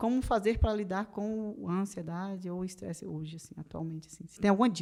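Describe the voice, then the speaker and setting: Her pitch medium and its variation ordinary, a woman delivers her words at a fairly quick pace. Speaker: podcast host. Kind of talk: interview. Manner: fast.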